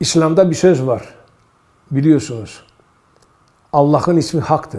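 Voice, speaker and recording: Dark and mellow in tone, a man is talking. The rise and fall of his pitch is ordinary. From Istanbul, Turkey (Greek minority). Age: 70s. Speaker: academic and translator, oral history interviewee. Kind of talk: oral history interview. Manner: halting, with many fillers.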